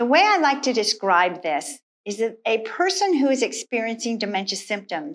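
A woman speaks fairly slowly with very wide pitch swings. The background is quiet. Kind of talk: instructional talk to camera. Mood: warm, earnest. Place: studio.

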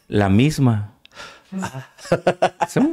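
Very wide pitch swings in a man's speech, set against a quiet background. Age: 60s. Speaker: son of a famous musician; interview guest. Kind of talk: interview. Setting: studio. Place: studio. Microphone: studio mic.

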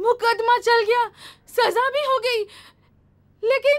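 At a very slow pace, a woman speaks with an extremely high pitch and fairly even intonation over a quiet background. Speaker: stage actor. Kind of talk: dramatic stage monologue. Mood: aggrieved, pleading. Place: stage.

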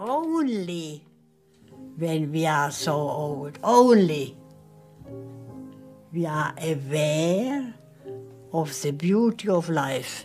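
Faint music plays in the background as a woman speaks in a very deep, low voice with lively intonation. Her pace is very slow, with long, frequent pauses. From Czech Republic. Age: 80s+. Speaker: concert pianist and Holocaust survivor. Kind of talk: interview answer.

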